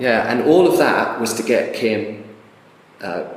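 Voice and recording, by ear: Audible room echo surrounds a man speaking at a medium pitch. His pace is fairly slow and his intonation lively.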